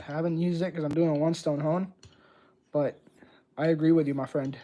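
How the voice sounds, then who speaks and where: Talking at a very fast pace with a slight Puerto Rican accent, a man has a fairly high pitch, a dark, mellow tone and flat, monotone intonation. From Puerto Rico. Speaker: razor honing livestreamer. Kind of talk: livestream tutorial chat. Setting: live stream. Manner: casual, conversational.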